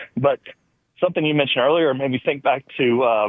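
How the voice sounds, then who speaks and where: A man with an American accent, fairly high-pitched, at a very fast pace. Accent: Southern accent, toned down when formal. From US South. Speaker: caller. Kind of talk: casual chat.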